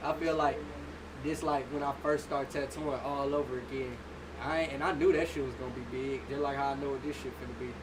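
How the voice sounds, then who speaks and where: Very fast and in a monotone, flat intonation, a man speaks at a fairly high pitch. Audible room echo and noticeable background noise come through. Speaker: livestreamer and tattoo artist. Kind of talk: casual livestream talk to viewers. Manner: quiet, laid back.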